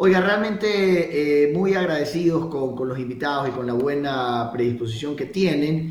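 A man's fairly high voice at a fairly slow pace, with ordinary pitch variation, hardly any pauses and noticeable background noise. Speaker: radio host. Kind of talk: radio talk show.

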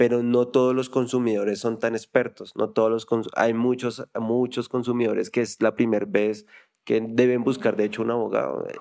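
With a dark, mellow tone, a man speaks at a medium pitch and a moderate pace in a monotone with flat intonation. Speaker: podcast host. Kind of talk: casual interview.

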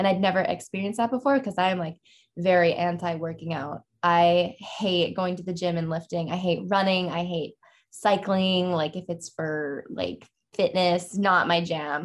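Here a woman speaks in a plain, everyday voice at a fairly low pitch. She keeps a moderate pace and fairly even intonation. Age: 20s. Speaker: artist. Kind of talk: interview conversation. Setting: podcast studio.

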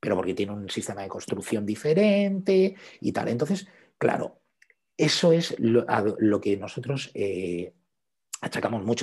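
Somewhat breathy speech with very wide pitch swings comes over a quiet background. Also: man. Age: 40s. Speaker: photographer. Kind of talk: interview.

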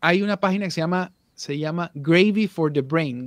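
The sound is dry and close, with no echo. A man speaks at a fairly slow pace with ordinary pitch variation. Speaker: voice actor and audio producer. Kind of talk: casual interview chat.

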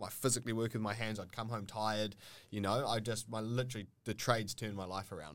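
A man with a New Zealand accent talks at a very fast pace. The recording is very clean, with a silent background. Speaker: plumber and trade educator. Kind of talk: casual chat. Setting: studio.

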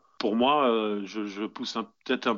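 Speaking very slowly, the man keeps his voice at a medium pitch and his intonation fairly even. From Netherlands. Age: 30s. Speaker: farmer and bushcraft video maker. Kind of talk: interview. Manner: hesitant, many fillers and repetitions.

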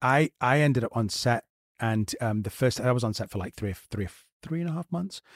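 Using a normal speaking voice, a man talks at a fairly quick pace in a medium pitch with lively intonation and a dry, close sound with no echo. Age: 40s. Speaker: actor and podcast co-host. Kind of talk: casual interview chat.

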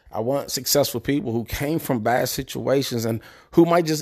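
A man with an American accent has a plain, everyday voice, fairly high in pitch with ordinary variation. He keeps a moderate pace on a very clean recording with a silent background. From Prince George's County, Maryland. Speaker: podcast host, military service member. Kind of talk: solo motivational podcast monologue. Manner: casual, conversational.

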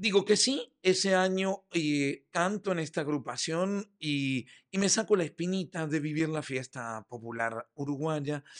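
Against a quiet background, a man with a fairly high voice speaks at a fairly slow pace with lively intonation. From Uruguay, Montevideo. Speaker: theatre director and playwright. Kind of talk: interview.

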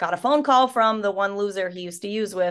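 Against a quiet background, a woman speaks with ordinary pitch variation. She has an unremarkable speaking voice. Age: 30s. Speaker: podcast host and life coach. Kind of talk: casual chat. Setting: hotel room.

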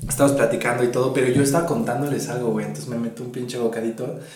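Noticeable background noise and audible room echo surround this man's speech. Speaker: podcast co-host. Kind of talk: casual chat.

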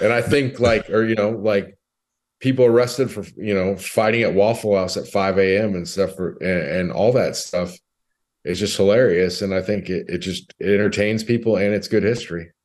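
In a quiet background, a man with an American accent talks at a moderate pace in a plain, everyday voice, pitched fairly low with ordinary pitch variation. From California. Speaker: strength coach. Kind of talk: casual chat.

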